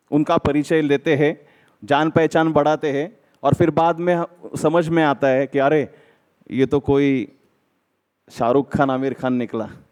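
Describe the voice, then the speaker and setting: A man talks with a Marathi accent. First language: Marathi (speaking Hindi). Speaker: lawyer. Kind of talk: speech at an event.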